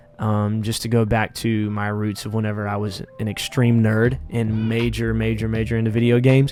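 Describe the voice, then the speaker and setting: Music plays in the background as a man talks at a medium pitch with a Southern US accent. His pace is moderate. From Louisiana, US South. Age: 20s. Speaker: vlogger and minister. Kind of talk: casual Q&A vlog.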